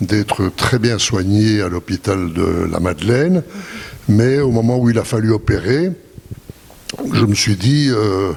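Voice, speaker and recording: Against noticeable background noise, a man talks at a very slow pace with ordinary pitch variation. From Belgium. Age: 80s+. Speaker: retired businessman. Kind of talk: interview testimony.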